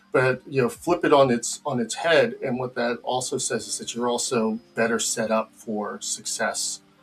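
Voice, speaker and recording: Over music in the background, a man at medium pitch speaks at a moderate pace with ordinary pitch variation. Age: 50s. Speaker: game industry executive. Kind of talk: casual chat.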